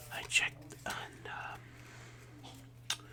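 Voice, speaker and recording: The speaker whispers throughout. Background noise is noticeable. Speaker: ASMR creator. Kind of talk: ASMR card unboxing. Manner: whispering.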